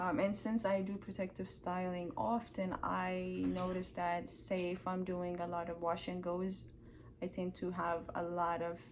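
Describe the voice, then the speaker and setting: A woman's fairly slow speech with fairly even intonation and audible room echo. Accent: non-native. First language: not English. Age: 20s. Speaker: hair care vlogger. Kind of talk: tutorial. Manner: casual, filler-heavy.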